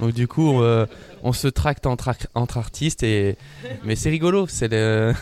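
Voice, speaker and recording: A man speaks at a very slow pace and medium pitch, keeping his loudness very even with ordinary pitch variation. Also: dry, close sound with no echo. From northern France, Lille. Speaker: mime artist. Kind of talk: radio interview.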